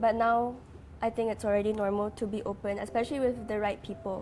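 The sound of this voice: A woman talks at a fairly quick pace with a medium pitch. Her pitch moves very little. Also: slightly mellow tone.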